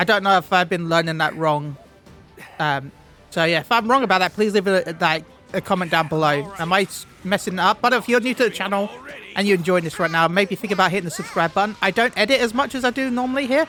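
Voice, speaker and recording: A man's raised, projected voice, high in pitch, with lively intonation and a very fast pace, over music in the background. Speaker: gaming YouTuber. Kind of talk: gameplay commentary. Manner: halting, repeats words.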